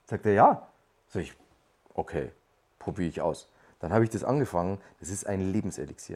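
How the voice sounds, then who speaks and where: A man with a fairly low pitch and ordinary pitch variation, a fairly quick pace and long, frequent pauses. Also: very clean recording, silent background. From Lower Bavaria, Germany. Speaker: podcast guest. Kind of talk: casual chat.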